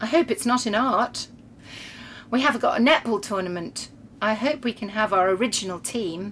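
With lively intonation, a woman speaks at medium pitch and a moderate pace in a fairly bright tone.

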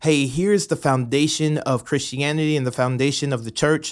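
Speaking in an ordinary speaking voice, a man uses a fairly high pitch with ordinary pitch variation. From US South, Atlanta, Georgia. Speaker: pastor. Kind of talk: bible reading with commentary.

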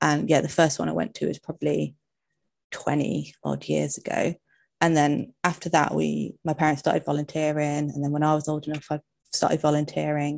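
Here a woman talks with an English accent at a moderate pace. The recording is very clean and the background silent. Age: 30s. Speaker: occupational therapy student with arthritis. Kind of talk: casual interview. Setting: live stream.

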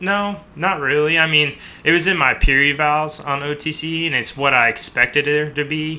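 An ordinary speaking voice from a man with an American accent, fairly high in pitch, with fairly even intonation and a moderate pace. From US Midwest, mostly Chicago. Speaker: military pararescue operator. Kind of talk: interview.

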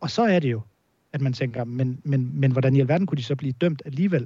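A man with a fairly high pitch sounds somewhat breathy, his tone dark and mellow. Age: 30s. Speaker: football journalist. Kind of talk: podcast interview. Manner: halting, many repetitions and fillers.

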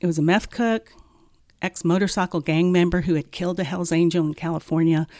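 Dry and close with no echo, on a very clean recording with a silent background, a woman speaks at a fairly quick pace with a dark, mellow tone, a fairly low pitch and fairly even intonation. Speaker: counselor and former narcotics officer. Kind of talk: casual interview. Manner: soft-spoken.

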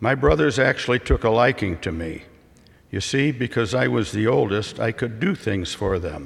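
A man's medium-pitched voice with an American accent, lively intonation, vocal fry and a moderate pace. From US Midwest. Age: 80s+. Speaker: retired father giving a reflection. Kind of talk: prepared speech at church. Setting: church. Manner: formal.

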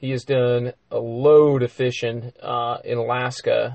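A man's medium-pitched, somewhat breathy voice comes across in flat, monotone intonation. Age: 40s. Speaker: podcast host, fly shop. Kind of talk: casual chat. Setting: studio.

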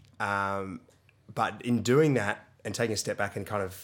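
With an Australian accent, a man talks at a fairly low pitch on a very clean recording against a silent background. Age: 30s. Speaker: CrossFit gym owner and coach. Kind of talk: casual chat.

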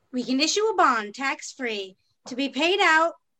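A woman's raised, projected voice, bright and sharp in tone and high in pitch. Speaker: city planner character. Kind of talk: audio drama period dialogue. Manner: brisk, crisp, formal and imperious.

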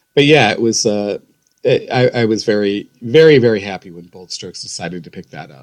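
Talking at a fairly quick pace with an Ohio accent, a man shows ordinary pitch variation and big swings in loudness. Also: medium pitch for a man. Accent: Midwestern American (Ohio). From Ohio, west side of Cleveland. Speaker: author. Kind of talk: interview.

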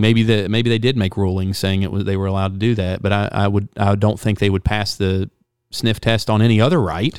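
A man with an unremarkable speaking voice, fairly low in pitch, at a fairly quick pace, in a very clean recording with a silent background. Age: 30s. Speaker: podcast host. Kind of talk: casual chat.

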